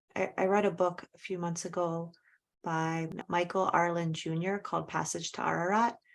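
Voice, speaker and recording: A woman's fairly low voice in a flat monotone, on a very clean recording with a silent background. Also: moderate pace. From Azerbaijan. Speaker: podcast host. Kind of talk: interview. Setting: podcast.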